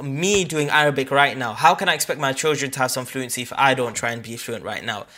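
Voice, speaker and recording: At a fairly quick pace, a man speaks at medium pitch with ordinary pitch variation and a bright, sharp tone. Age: 20s. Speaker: podcast host. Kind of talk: casual chat. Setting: video call.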